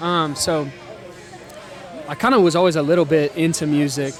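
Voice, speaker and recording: With crowd noise behind him and audible room echo, a man speaks at a moderate pace in an American accent. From Texas (McAllen, Rio Grande Valley; later Waco). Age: 20s. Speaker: musician. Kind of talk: casual interview. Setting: live show with audience at a venue. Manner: hesitant, many fillers (um, like).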